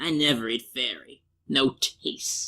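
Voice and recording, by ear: A woman's put-on character voice, extremely low and bright and sharp in tone, slow, with ordinary pitch variation.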